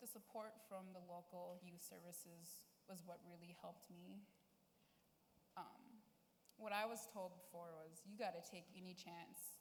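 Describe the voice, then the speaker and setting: A woman's fairly low, fairly evenly intoned voice at a fairly slow pace, with long, frequent pauses, audible room echo and noticeable background noise. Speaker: youth panelist. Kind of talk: testimony. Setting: stage with audience.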